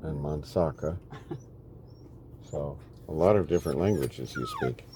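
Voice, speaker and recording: Noticeable background noise around a man's very deep, low-pitched voice. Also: ordinary pitch variation, moderate pace. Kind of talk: casual conversation on camera.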